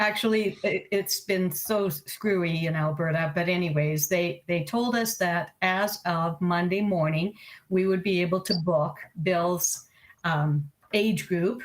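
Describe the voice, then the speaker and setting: A woman speaks fairly slowly in a fairly low pitch with ordinary pitch variation and very even loudness. She has an ordinary speaking voice. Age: 60s. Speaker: computer club member. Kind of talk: casual chat.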